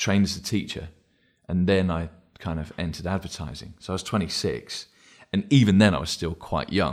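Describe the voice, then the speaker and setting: A man with a very deep, low pitch, vocal fry and an English accent, with ordinary pitch variation at a fairly quick pace, on a very clean recording with a silent background. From England. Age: 40s. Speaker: advertising creative director. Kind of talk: podcast interview.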